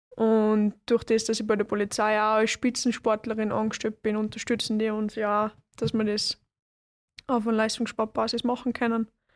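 With a Salzburg accent, a woman speaks at a fairly high pitch in monotone, flat intonation, in a dry, close sound with no echo and a very clean recording with a silent background. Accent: Austrian German (Salzburg). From Austria, Salzburg. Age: 20s. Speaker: kickboxer. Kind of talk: interview.

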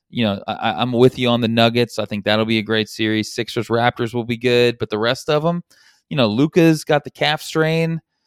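This man has a normal speaking voice at a medium pitch, with ordinary pitch variation. He talks at a fairly quick pace. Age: 40s. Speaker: sports betting podcast co-host. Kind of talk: casual chat.

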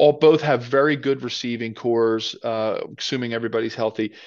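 The background is quiet. A man with an American accent speaks in an unremarkable speaking voice at a medium pitch. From Philadelphia, US. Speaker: former NFL player, football pundit. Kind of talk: casual sports chat.

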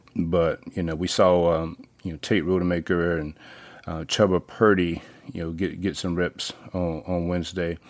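A man with a Southern US accent, very deep and low in pitch, flat and monotone at a moderate pace. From North Carolina small town. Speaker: sports podcast host. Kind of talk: casual monologue. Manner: hesitant with many fillers.

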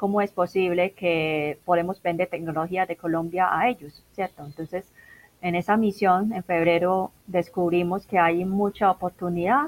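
Here a woman speaks at a fairly slow pace with fairly even intonation. The sound is dry and close, with no echo. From Macao. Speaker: business internationalization coordinator. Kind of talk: interview. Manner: halting.

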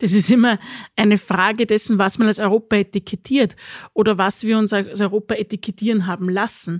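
This woman has an ordinary speaking voice of medium pitch, talking at a fairly quick pace with fairly even intonation in a very clean recording with a silent background and a dry, close sound with no echo. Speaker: president of a political academy. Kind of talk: discussion. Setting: studio.

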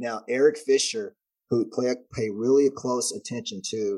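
Dark, mellow male speech at a medium pitch. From Texas. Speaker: former NFL player, football analyst. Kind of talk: casual sports preview chat. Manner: animated.

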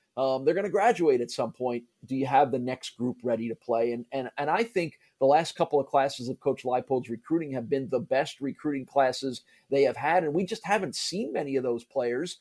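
With an American accent and an unremarkable speaking voice, a man speaks at a fairly high pitch and fairly quick pace with hardly any pauses, the recording very clean, dry and close with no echo and a silent background. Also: ordinary pitch variation. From US Northeast (New Jersey, New York area). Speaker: college sports play-by-play broadcaster. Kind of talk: casual interview.

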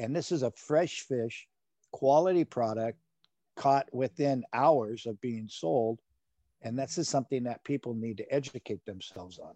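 A man with an American accent at medium pitch, dark and mellow in tone, moderate in pace, with ordinary pitch variation and big swings in loudness, in a dry, close sound with no echo against a quiet background. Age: 60s. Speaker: fisherman and seafood seller. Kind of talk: casual interview.

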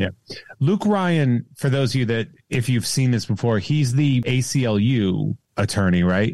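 With an American accent, a man speaks in a plain, everyday voice at a medium pitch. He keeps a fairly slow pace, lively intonation and very even loudness. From Central Massachusetts. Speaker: podcaster and comedian. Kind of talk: casual chat.

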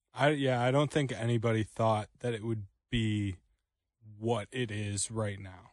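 Against a quiet background, a man talks at a fairly slow pace in a normal speaking voice. His pitch is medium and his intonation fairly even. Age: 20s. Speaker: radio producer and co-host. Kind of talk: radio sports talk show.

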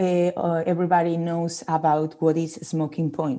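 Over a quiet background, a woman with a Spanish accent speaks at a moderate pace in a fairly low pitch, her tone dark and mellow and her intonation monotone and flat. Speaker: olive oil marketing manager. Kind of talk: interview. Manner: halting.

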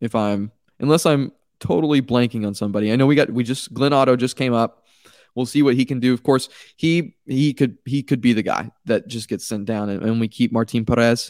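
With an unremarkable speaking voice, a man talks at a fairly quick pace and medium pitch with ordinary pitch variation, in a very clean recording with a silent background and a dry, close sound with no echo. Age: 20s. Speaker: baseball podcast host. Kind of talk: solo sports podcast commentary.

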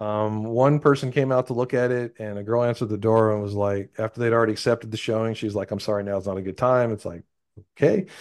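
Against a quiet background, someone with an American accent talks at a very fast pace with fairly even intonation. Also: man, medium pitch for a man. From Texas. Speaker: real estate investor. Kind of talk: interview.

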